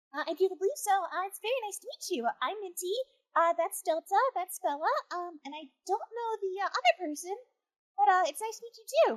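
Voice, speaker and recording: A woman's put-on character voice, extremely high-pitched, at a fairly quick pace, with lively intonation, big swings in loudness and a dry, close sound with no echo. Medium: actual play. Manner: hesitant, stammering.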